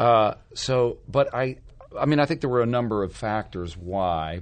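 Using an ordinary speaking voice, a man at medium pitch speaks with lively intonation. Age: 50s. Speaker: stage actor. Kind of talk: casual chat.

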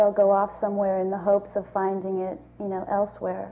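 A woman talks with a medium pitch, keeping a moderate pace. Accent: American. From New York. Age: 20s. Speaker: actress. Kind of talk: panel discussion.

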